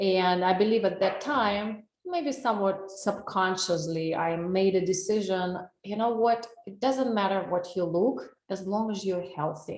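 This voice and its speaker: With a Russian accent, a woman speaks fairly slowly at a medium pitch and ordinary pitch variation, with audible room echo around her. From Russia, Saint Petersburg. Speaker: wellness coach. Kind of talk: webinar presentation. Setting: online webinar.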